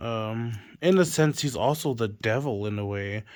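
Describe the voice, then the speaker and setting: A man with an American accent in a normal speaking voice of medium pitch, at a fairly slow pace with ordinary pitch variation, on a very clean recording with a silent background. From Tonga and US. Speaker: fantasy author. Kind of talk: casual monologue presenting own fantasy novel. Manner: rambling with fillers and self-corrections.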